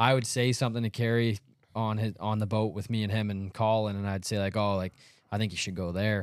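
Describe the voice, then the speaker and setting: A man with a Canadian accent, fairly low pitch, monotone, flat intonation and a fairly quick pace, on a very clean recording with a silent background. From Ontario, Canada. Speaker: professional bass angler. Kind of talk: casual chat. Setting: studio.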